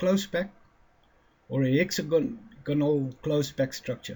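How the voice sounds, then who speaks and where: Somewhat breathy and fairly high-pitched, a man speaks with a non-native accent and ordinary pitch variation. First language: not English. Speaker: independent physics theorist. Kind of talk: lecture. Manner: halting, stumbling over words.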